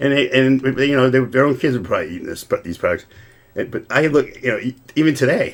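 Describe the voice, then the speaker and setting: Speaking very fast, a man uses a medium pitch with ordinary pitch variation and vocal fry. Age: 60s. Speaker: lawyer and drummer, podcast guest. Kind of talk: casual chat. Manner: halting, many repetitions.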